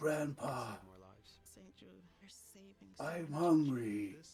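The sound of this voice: The pitch lands in a low-to-middle range. The voice is a put-on character act.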